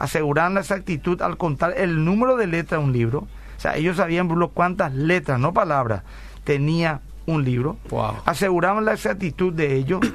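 This is an unremarkable speaking voice at a moderate pace. The intonation is lively. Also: man, fairly high pitch for a man. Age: 40s. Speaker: pastor and radio host. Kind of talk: radio Bible talk show.

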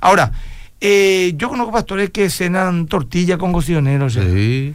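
The voice belongs to a man with a high pitch. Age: 50s. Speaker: pastor. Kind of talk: radio call-in Q&A.

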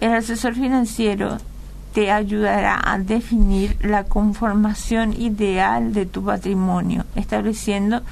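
A woman's voice with audible room echo. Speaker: financial advisor. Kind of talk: radio interview.

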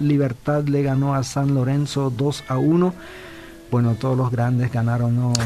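Over noticeable background noise, a man speaks fairly slowly at a medium pitch with fairly even intonation and very even loudness. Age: 50s. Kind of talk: casual chat.

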